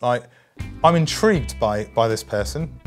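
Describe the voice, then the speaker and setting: With music playing in the background, a speaker with a British accent moves through very wide pitch swings. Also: man. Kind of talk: mock-documentary interview answer.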